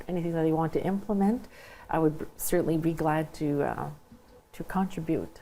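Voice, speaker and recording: Moderate pace, ordinary pitch variation and a dark, mellow tone from a woman with a French accent and fairly low pitch. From Saint Boniface, Manitoba (Franco-Manitoban). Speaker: school trustee candidate. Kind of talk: interview. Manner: hesitant, many fillers.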